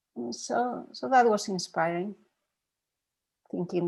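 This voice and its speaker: Woman with a Spanish accent, medium pitch and a fairly slow pace. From Spain. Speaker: meditation teacher. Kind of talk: dharma talk with Q&A. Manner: halting.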